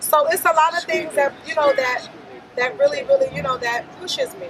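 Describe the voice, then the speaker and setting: Over crowd noise in the background, a woman with an American accent speaks at a fairly quick pace, her extremely high voice making very wide pitch swings. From Brooklyn, New York. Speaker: motivational speaker. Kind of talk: casual interview.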